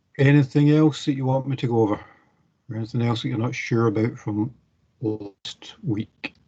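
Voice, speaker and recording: In a dark, mellow and somewhat breathy tone, a man speaks with fairly even intonation. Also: medium pitch for a man, moderate pace. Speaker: university lecturer. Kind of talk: online class session.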